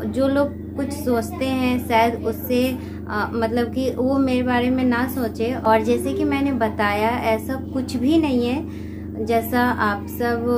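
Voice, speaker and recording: Music sounds behind the speaker. A woman talks very slowly. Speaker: home vlogger. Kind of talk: casual vlog chat. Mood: earnest, explaining herself. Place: home room. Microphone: phone near.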